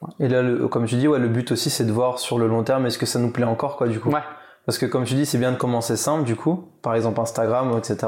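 Very fast and very even in loudness, a man speaks at a medium pitch with fairly even intonation. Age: 30s. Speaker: podcast host. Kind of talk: casual interview.

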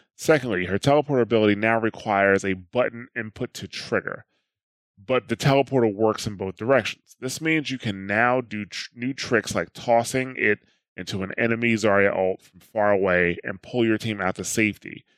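Recorded with a dry, close sound and no echo, a man speaks with ordinary pitch variation and big swings in loudness. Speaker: podcast host. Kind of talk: casual podcast chat.

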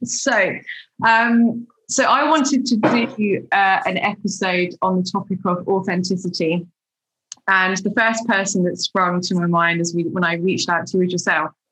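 At a moderate pace, a woman talks with very even loudness, a medium pitch and ordinary pitch variation. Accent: British. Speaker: podcast host interviewer. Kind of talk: casual interview chat.

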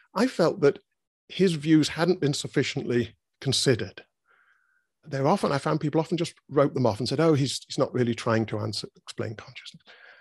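A man with a British accent speaks in a fairly high pitch for a man, his voice somewhat breathy. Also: fairly quick pace. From Britain. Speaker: philosopher. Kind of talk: interview conversation. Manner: halting, with many repetitions and fillers.

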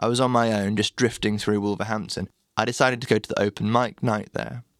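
The sound is dry and close, with no echo. A man speaks at a moderate pace with ordinary pitch variation. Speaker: blog narrator. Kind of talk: reading aloud a written blog post.

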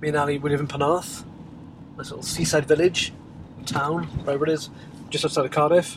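Delivery is very fast yet broken by long, frequent pauses, in a monotone, flat intonation. Loudness swings widely over noticeable background noise. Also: man, fairly high pitch for a man. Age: 40s. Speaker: web developer and podcaster. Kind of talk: casual solo vlog monologue. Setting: office.

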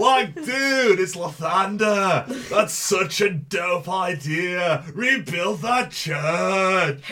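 The speaker uses a put-on character voice. The pace is very slow, with hardly any pauses. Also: man, high pitch for a man. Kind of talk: casual, surfer-like slang. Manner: chill, groovy, friendly.

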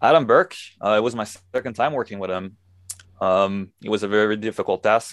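At a fairly quick pace, a man with a fairly low pitch speaks with ordinary pitch variation in a dry, close sound with no echo. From Quebec, Montreal. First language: French. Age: 20s. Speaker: metal guitarist. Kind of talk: casual interview. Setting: video call.

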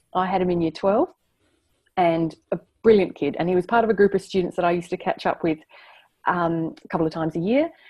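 A woman's dark, mellow voice of medium pitch, with ordinary pitch variation and a moderate pace. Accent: Australian. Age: 30s. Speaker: surrogate and maths teacher. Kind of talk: interview.

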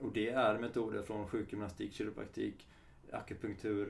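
A man speaks with vocal fry. Audible room echo surrounds his voice. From Sweden, Halmstad area (Halland). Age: 30s. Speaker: kinesiologist. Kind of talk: interview.

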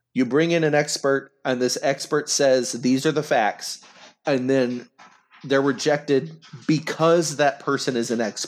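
This man has a plain, everyday voice, fairly high in pitch, speaking at a fairly slow pace with an American accent, fairly even intonation and very even loudness. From Oklahoma, McAlester. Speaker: congressional candidate. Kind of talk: interview.

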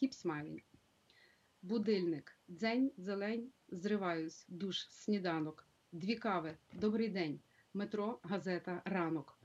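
A woman's medium-pitched voice moves at a fairly slow pace, its pitch varying in an ordinary way. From Ukraine, Drohobych (western Ukraine). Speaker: community leader and school director. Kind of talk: interview; reading aloud.

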